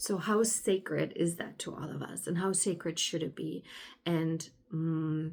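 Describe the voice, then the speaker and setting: A woman with a German accent, fairly low in pitch, fairly slow, with fairly even intonation. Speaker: spiritual alignment coach, podcaster. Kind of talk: casual monologue podcast. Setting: indoors by a sunny window. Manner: halting, with fillers.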